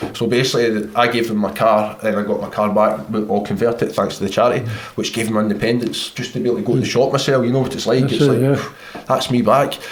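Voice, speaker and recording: Amid noticeable background noise, a man talks at a very fast pace and a medium pitch. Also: ordinary pitch variation, hardly any pauses. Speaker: army veteran, amputee. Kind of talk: conversational interview.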